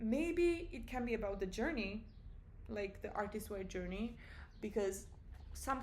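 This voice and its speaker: Audible room echo surrounds a woman speaking at a fairly slow pace in a fairly high pitch. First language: not English. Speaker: vlogger. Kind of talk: personal vlog monologue. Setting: at home. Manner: casual, halting with self-corrections.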